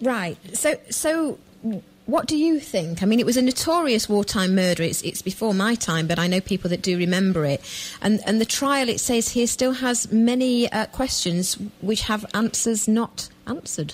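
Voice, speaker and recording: A woman speaks at a fairly high pitch and moderate pace with lively intonation and very even loudness, against noticeable background noise. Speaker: radio show host. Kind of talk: radio interview questions.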